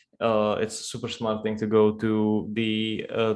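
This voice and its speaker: A man speaks in a fairly low pitch with a Russian accent. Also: quiet background. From Czech Republic. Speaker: crypto trader. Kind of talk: casual chat. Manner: halting, many fillers.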